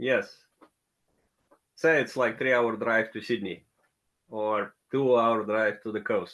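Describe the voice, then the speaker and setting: With a Russian accent, a man speaks at a medium pitch and a very slow pace, his intonation fairly even and his pauses long and frequent. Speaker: tech working group member. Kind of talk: casual chat.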